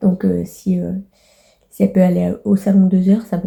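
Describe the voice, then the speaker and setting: A woman with a dark, mellow tone and a somewhat breathy voice speaks at a medium pitch in a monotone, flat intonation. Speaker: vlogger. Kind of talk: casual vlog monologue. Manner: halting, many fillers.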